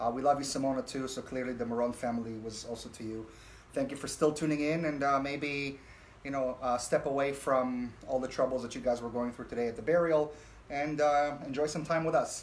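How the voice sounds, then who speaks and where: A man speaks fairly quickly, his pitch fairly high. His intonation stays fairly even. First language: not English. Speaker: talk show host. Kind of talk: casual chat. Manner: hesitant, many fillers.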